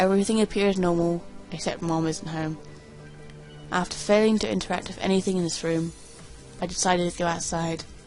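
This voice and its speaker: With music in the background, the speaker goes at a fairly quick pace in monotone, flat intonation. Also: woman. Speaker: creepypasta reader. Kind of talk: reading aloud. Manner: fast; halting.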